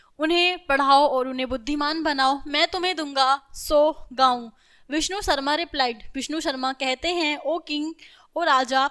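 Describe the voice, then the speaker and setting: A woman's high, bright, sharp voice on a very clean recording with a silent background. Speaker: school teacher. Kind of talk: lecture. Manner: animated.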